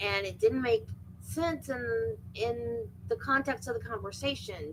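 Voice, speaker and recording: Fairly slowly, a woman speaks in an American accent. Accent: Florida accent, thicker when she wants. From Florida, US South. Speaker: true crime livestream host. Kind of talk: casual chat. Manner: rambling conversational.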